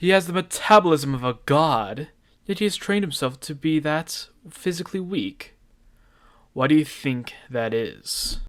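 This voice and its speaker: A man puts on a character voice with a fairly high pitch. He talks at a moderate pace. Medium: audio drama. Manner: firm, confident.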